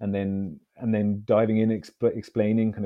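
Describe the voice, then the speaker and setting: A man with a London accent speaks at a moderate pace. His pitch is fairly low. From London, England. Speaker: Olympic fencer and author. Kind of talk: casual interview. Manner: halting, repeats words.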